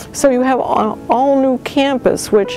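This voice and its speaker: A woman speaks in an American accent while music plays in the background. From Massachusetts, Wellesley. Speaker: university admissions director. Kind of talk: interview monologue.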